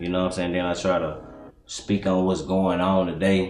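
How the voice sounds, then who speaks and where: A man speaks with a very deep, low pitch, with faint music behind him and audible echo in the room. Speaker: interviewee. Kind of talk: interview answer. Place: home room.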